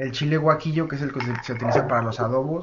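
A man rushes along at a very fast pace with noticeable background noise around him. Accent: Mexican. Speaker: podcast co-host, freelance chef. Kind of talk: casual chat. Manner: animated.

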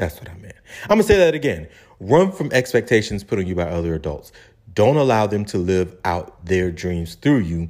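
Big swings in loudness, lively intonation and a moderate pace, with a Charleston accent. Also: man, fairly low pitch for a man. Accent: Charleston Southern US. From Charleston, South Carolina. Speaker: podcast host. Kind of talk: casual podcast talk.

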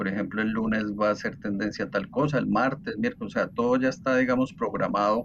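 Over noticeable background noise, a man with a medium-pitched voice talks at a fairly quick pace with hardly any pauses and ordinary pitch variation. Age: 40s. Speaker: TikTok content creator and electrical engineer. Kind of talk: casual interview.

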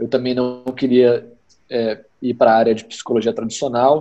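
A man is talking. His tone is dark and mellow. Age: 30s. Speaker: entrepreneur and entrepreneurship teacher. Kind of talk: interview.

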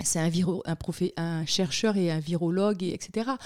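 Fairly low for a woman, her dark, mellow voice moves at a fairly slow pace with fairly even intonation. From Guadeloupe (Le Moule). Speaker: communications entrepreneur and parliamentary aide. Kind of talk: casual interview.

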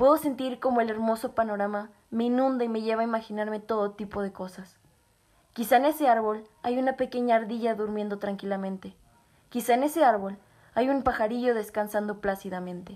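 A woman speaks in a plain, everyday voice at a fairly high pitch. Her pace is fairly quick and her intonation fairly even. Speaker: poet reading own poem. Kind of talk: poem performed, reflective reading aloud. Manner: rhythmic, rhyming cadence that swells with emotion near the embrace.

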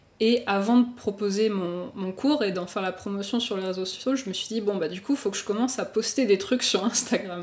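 The speech moves at a fairly quick pace with hardly any pauses, ordinary pitch variation, and noticeable background noise. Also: woman, medium pitch for a woman. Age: 20s. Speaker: motion designer and illustrator. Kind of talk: casual chat. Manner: halting.

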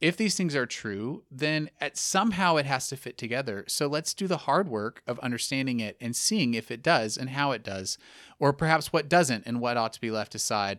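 A man with an American accent and an ordinary speaking voice talks at a moderate pace, his fairly high pitch moving with lively intonation. The recording is very clean and dry, with a close sound, no echo and a silent background. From Texas. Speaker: theology professor. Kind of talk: lecture-style interview explanation.

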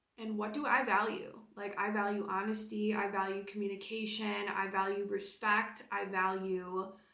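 Against noticeable background noise and audible room echo, a woman at medium pitch talks in a monotone, flat intonation with hardly any pauses. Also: moderate pace. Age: 20s. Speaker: podcast host. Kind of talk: casual solo monologue.

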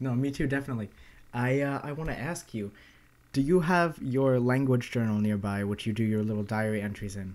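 A man with an American accent speaks in a normal speaking voice at a fairly quick pace with ordinary pitch variation. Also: medium pitch for a man. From United States. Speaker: language-learning podcast co-host. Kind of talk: casual chat. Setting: remote call recording.

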